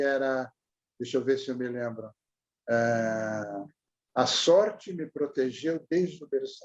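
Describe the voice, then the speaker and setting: A man speaks at a very slow pace in a medium pitch. He leaves long, frequent pauses. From Brazil, Santos (São Paulo coast). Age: 80s+. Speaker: retired journalist. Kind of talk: oral history interview. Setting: video call.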